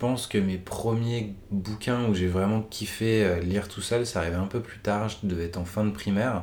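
The speaker goes at a fairly slow pace with fairly even intonation, and audible room echo fills the recording. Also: man. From Paris region, France. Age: 20s. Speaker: book reader. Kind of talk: casual chat. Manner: hesitant, many fillers.

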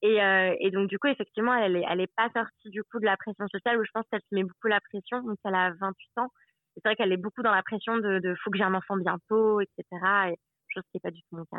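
A woman's very fast speech at medium pitch, with fairly even intonation. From Savoie, France. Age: 30s. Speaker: expatriate traveller. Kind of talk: interview.

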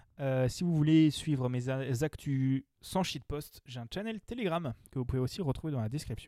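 In an English accent, a man talks with a dark, mellow tone, the sound dry and close with no echo on a very clean recording with a silent background. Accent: self-described bad English. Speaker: podcast host, blind test quiz master. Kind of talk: casual game show chat. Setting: in-person recording around a table.

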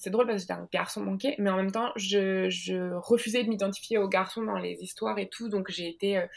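A woman with an ordinary speaking voice, medium in pitch, with fairly even intonation. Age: 30s. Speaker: comics author and illustrator. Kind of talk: interview.

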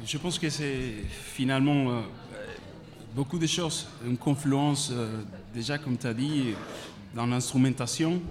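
Speaking very slowly with long, frequent pauses, a man with a Spanish accent keeps a medium pitch and fairly even intonation against noticeable background noise. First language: Spanish (speaking French). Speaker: musician. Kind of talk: interview. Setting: festival press area, live radio.

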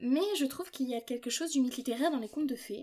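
High pitch and lively intonation from a female speaker. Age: 20s. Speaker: podcast host and doctoral student in literature. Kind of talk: solo podcast monologue. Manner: casual, light tone.

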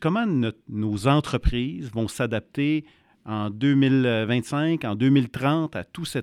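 Recorded with a dry, close sound and no echo, the speaker talks in a Quebec accent. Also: man. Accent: Québécois French. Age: 40s. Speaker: podcast co-host, entrepreneur. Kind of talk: interview.

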